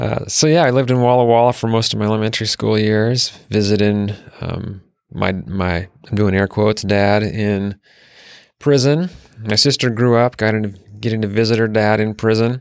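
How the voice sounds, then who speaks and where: In a very clean recording with a silent background, a man with an American accent and an unremarkable speaking voice talks at a moderate pace, his fairly low pitch held in fairly even intonation. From Utah and Washington State. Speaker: city mayor. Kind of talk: casual interview.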